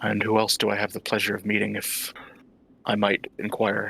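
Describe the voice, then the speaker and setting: A man does a put-on character voice, raspy and fairly low-pitched, with monotone, flat intonation at a moderate pace. The sound is dry and close, with no echo. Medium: actual play. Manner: formal, courteous.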